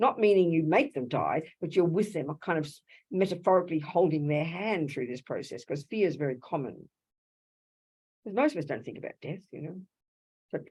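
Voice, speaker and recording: A woman with an Australian accent and a dark, mellow tone, fairly low in pitch with ordinary pitch variation, at a fairly quick pace with big swings in loudness. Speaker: Buddhist nun teacher. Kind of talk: dharma talk. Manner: fast; animated.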